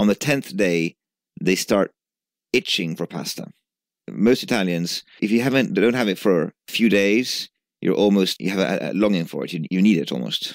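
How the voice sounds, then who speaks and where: With vocal fry and lively intonation, the voice comes through dry and close with no echo on a very clean recording over a silent background. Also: man, fairly low pitch for a man, moderate pace. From Italy (Genoa). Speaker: entrepreneur. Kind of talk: interview.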